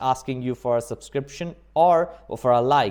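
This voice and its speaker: The pace is moderate. The man keeps his intonation fairly even. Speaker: immigration vlogger. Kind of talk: tutorial. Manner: many fillers, hesitant.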